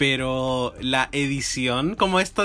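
With a Chilean accent, the man delivers his lines. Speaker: podcast co-host. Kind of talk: casual chat.

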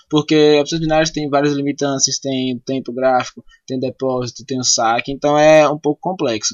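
A man's normal speaking voice at a fairly high pitch, moderate in pace, with fairly even intonation. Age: 20s. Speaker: podcast host. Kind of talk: casual interview.

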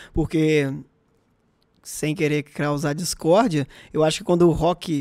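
This man has an unremarkable speaking voice, pitched fairly high, with fairly even intonation. The recording is very clean, with a silent background. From Brazil, interior of Minas Gerais. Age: 20s. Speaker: podcast co-host. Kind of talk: casual chat.

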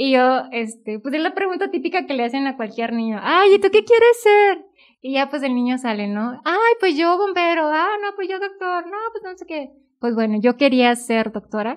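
A woman at a moderate pace, high in pitch, with very wide pitch swings and big swings in loudness. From Mexico, northern Veracruz. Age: 20s. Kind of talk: casual chat, vocation testimony.

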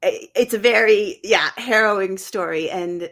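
In an ordinary speaking voice, a woman talks at a fairly slow pace. Her pitch sits fairly high. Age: 40s. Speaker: author. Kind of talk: interview.

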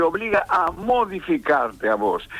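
Very slowly, a man speaks with very wide pitch swings amid noticeable background noise. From Argentina, Tucumán. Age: 80s+. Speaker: theatre teacher and director. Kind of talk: interview.

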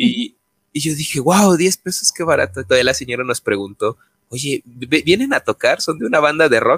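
A man talks with a Mexican accent at a fairly quick pace. The sound is dry and close, with no echo. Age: 20s. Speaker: podcast co-host. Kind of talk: casual chat.

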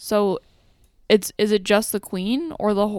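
A woman with a Canadian accent, a plain, everyday voice at medium pitch, speaks at a fairly slow pace in a very clean, dry, close recording with a silent background and no echo. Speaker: podcast co-host. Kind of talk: casual chat.

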